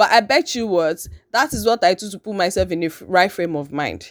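A woman's animated, medium-pitched voice with lively intonation and a Nigerian accent, in a very clean recording with a silent background. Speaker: podcast host. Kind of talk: casual monologue. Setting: at home, just woken up. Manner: animated, laughing often.

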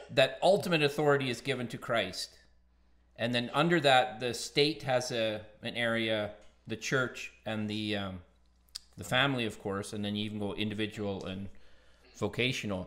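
With an ordinary speaking voice, a man talks at a medium pitch and a moderate pace, his pitch varying in an ordinary way. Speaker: podcast co-host. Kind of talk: casual chat.

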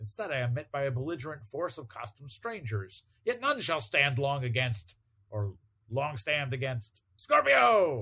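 A man puts on a character voice at a medium pitch, bright and sharp in tone. His pitch swings in big leaps. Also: fairly slow pace.

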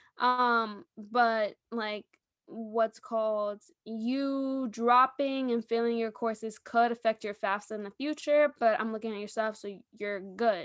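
A woman with an American accent speaks at a fairly high pitch against a quiet background. Her loudness swings widely. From New York. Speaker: podcast co-host. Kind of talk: casual chat. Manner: animated.

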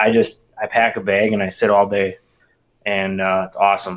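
A man talks with a Wisconsin accent. His pitch is fairly low and his pace moderate. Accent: Upper Midwest, Wisconsin. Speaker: bow hunter. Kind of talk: casual chat.

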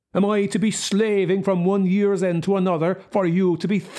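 A man does a put-on, growling character voice, pitched high, with monotone, flat intonation, very even loudness and a moderate pace. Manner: snarling.

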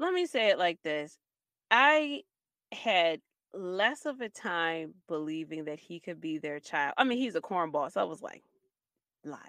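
A woman at a fairly slow pace, with very wide pitch swings, big swings in loudness and long, frequent pauses, in a dry, close sound with no echo against a quiet background. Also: fairly low pitch for a woman. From Baltimore, Maryland, US. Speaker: podcast co-host. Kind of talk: casual chat.

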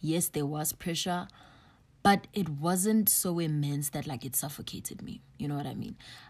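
Recorded very cleanly against a silent background, a woman with a very deep, low pitch talks at a moderate pace, somewhat breathy, with ordinary pitch variation. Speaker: podcast host. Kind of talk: solo podcast monologue. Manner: casual, filler-heavy.

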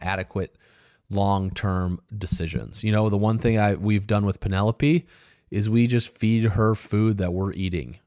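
Recorded very cleanly against a silent background, dry and close with no echo, a man speaks in an ordinary speaking voice at a fairly low pitch and moderate pace with ordinary pitch variation. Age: 30s. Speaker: podcast host and business owner. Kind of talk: solo podcast monologue. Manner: casual, conversational with fillers.

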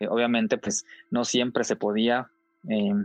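Medium-pitched male voice, delivery monotone and flat in intonation. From Mexico, Coahuila. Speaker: former Jehovah's Witness. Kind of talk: testimony. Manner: halting.

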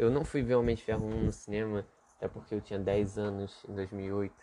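Speaking at a medium pitch, a man keeps a moderate speed. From Brazil, Rio de Janeiro. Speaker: podcast host. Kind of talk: solo casual monologue. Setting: home bedroom. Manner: halting, many fillers and repeats.

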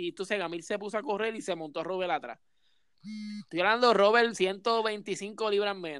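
On a very clean recording with a silent background, a man with a Puerto Rican accent speaks in an animated tone, his high voice showing ordinary pitch variation. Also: moderate pace. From Puerto Rico, Coto Laurel. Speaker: podcast host. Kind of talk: casual chat.

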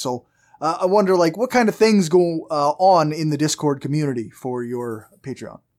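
An ordinary speaking voice, a man talks at a fairly high pitch and moderate pace with lively intonation on a very clean recording with a silent background. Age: 40s. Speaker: podcast host. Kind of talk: casual interview chat.

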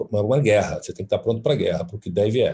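This man has a dark, mellow tone and sounds somewhat breathy. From Brazil, Fortaleza (Ceará). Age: 40s. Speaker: costume designer. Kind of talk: interview.

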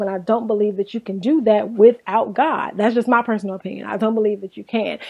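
Animated in tone, a woman speaks at a fairly high pitch. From Inglewood, California. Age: 30s. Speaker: podcast host. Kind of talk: casual chat.

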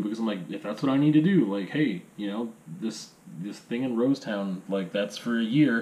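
A man's lively intonation at a fairly quick pace, with noticeable background noise. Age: 30s. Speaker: aspiring teacher and video blogger. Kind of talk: casual monologue. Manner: halting.

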